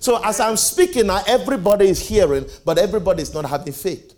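A man speaks with very wide pitch swings while noticeable background noise plays behind him. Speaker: preacher. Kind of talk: sermon. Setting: church with live audience. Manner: animated, call-and-response preaching; emphatic, repeats key phrases.

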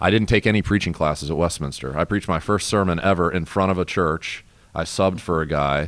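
At a very fast pace, a man with an American accent and very deep, low pitch speaks with ordinary pitch variation and very even loudness. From US Mid-Atlantic. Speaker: pastor. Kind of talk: casual chat.

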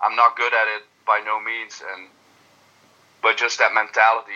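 Speaking at a fairly slow pace with a Dutch accent, a man has a bright, sharp tone at medium pitch. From Netherlands. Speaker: darts player. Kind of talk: interview.

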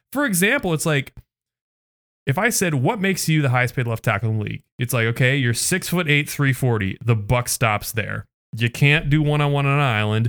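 An unremarkable speaking voice from a man with an American accent, fairly high in pitch, lively in intonation, at a moderate pace, on a very clean recording with a silent background. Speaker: sports podcast co-host. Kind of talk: casual chat.

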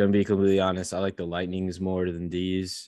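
The speech moves at a very fast pace. The background stays quiet. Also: man. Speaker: podcast co-host. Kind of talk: casual chat.

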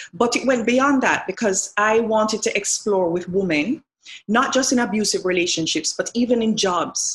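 Somewhat breathy, a woman speaks at a moderate tempo with normal pitch movement. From Jamaica, Montego Bay. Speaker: novelist. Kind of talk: interview.

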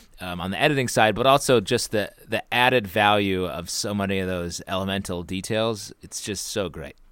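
A man with an American accent and a normal speaking voice talks at a fairly quick pace with hardly any pauses, his pitch fairly low with ordinary variation. The recording is very clean, with a silent background. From upstate New York. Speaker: improv actor. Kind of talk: casual chat.

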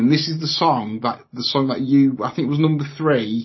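At a moderate pace, a man with a British accent talks in a fairly high, somewhat breathy voice with ordinary pitch variation. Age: 40s. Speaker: podcast host. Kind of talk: casual chat.

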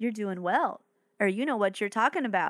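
On a very clean recording with a silent background and a dry, close sound with no echo, a woman speaks in an animated tone at a fairly high pitch with ordinary pitch variation. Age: 20s. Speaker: podcast host. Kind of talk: casual solo podcast talk.

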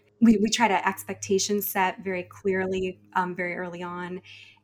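At a moderate pace, a woman with a medium-pitched voice speaks with big swings in loudness. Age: 20s. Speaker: podcaster. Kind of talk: casual chat.

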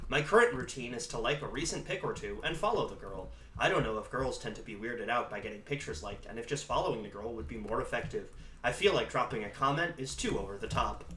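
A man at a very fast pace, playful in tone, against noticeable background noise. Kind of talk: casual chat. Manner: joking, playful.

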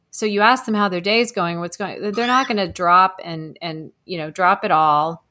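On a very clean recording with a silent background, a woman with an American accent talks at a moderate pace and medium pitch in a bright, sharp tone, with ordinary pitch variation and hardly any pauses. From Texas. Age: 50s. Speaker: animal communicator. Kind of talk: interview conversation.

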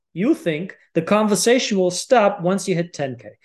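Lively intonation runs through a man's high-pitched speech. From Germany. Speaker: mindset coach. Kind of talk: casual interview.

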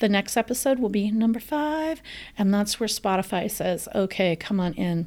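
Over a very clean recording with a silent background, a woman with a plain, everyday voice speaks at a moderate pace with lively intonation. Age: 40s. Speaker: podcast host. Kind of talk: solo podcast monologue.

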